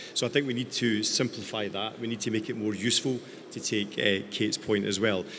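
A Scottish accent at a fairly quick pace, with fairly even intonation and light background noise. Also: man, fairly low pitch for a man. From Scotland. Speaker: tech company founder; panelist. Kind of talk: panel discussion. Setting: stage with audience. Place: stage. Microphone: handheld.

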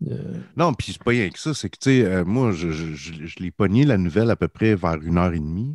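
The speaker has a Quebec accent, with a fairly quick pace, lively intonation and big swings in loudness. The recording is very clean with a silent background, and the sound is dry and close with no echo. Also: man, very deep, low pitch for a man. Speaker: podcast co-host. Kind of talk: casual chat.

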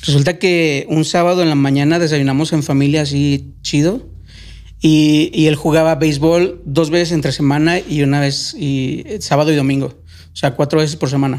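His intonation is monotone and flat. The man talks at a moderate pace with a fairly high pitch. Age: 40s. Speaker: former migrant. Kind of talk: casual chat.

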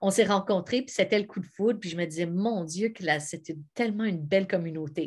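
Against a quiet background, a woman speaks at a moderate pace with lively intonation. Her voice is somewhat breathy. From Quebec (Montebello); Quebec. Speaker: actress and singer; actress. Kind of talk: sales pitch. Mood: warm, enthusiastic. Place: home room. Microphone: webcam.

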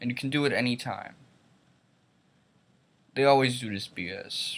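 At a fairly slow pace, a man delivers his words. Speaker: vlogger. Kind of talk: casual opinion vlog rant. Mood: annoyed, critical. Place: home room. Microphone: webcam.

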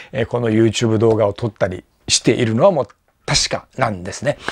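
A man talks against a quiet background. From Japan, Amami Oshima; Japan. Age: 60s. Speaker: YouTuber and tour guide; former student recalling a teacher. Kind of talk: casual monologue vlog. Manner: halting, many fillers; polite, formal. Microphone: lapel.

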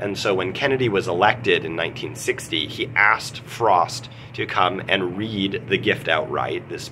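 Against noticeable background noise, a man talks at a moderate pace in a fairly low pitch. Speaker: literature teacher. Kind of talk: lecture. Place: office. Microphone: phone near.

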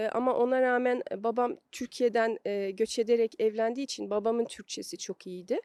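A woman speaks at a high pitch with a dark, mellow tone and ordinary pitch variation, at a moderate pace. The recording is very clean with a silent background and a dry, close sound with no echo. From Belgium, Brussels. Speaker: psychologist. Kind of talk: interview. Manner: halting, many fillers.

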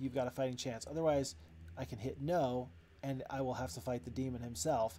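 The voice is an unforced reading voice with fairly even intonation.

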